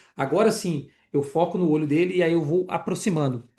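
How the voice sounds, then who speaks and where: A man with a high-pitched voice at a moderate pace, quiet background. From Minas Gerais, Brazil (Itabirito). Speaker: optometry teacher. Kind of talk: online lecture. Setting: live online class with chat. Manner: casual, conversational.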